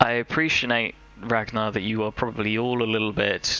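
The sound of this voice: A gruff, put-on character voice at a moderate pace with monotone, flat intonation. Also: man, medium pitch for a man.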